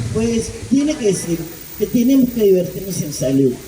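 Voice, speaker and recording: A woman speaks at a fairly quick pace with very wide pitch swings. The audio has noticeable background noise and audible room echo. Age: 60s. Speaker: addiction therapist speaking at political meeting. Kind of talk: public speech at community political meeting.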